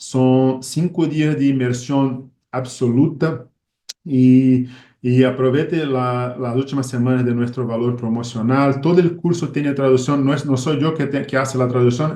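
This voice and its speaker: A man speaks with a Portuguese accent. His tone is dark and mellow, and his intonation is fairly even. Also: medium pitch for a man, fairly slow pace. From Brazil. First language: Portuguese (speaking Spanish). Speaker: ophthalmologist. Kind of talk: lecture. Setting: video call. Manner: halting.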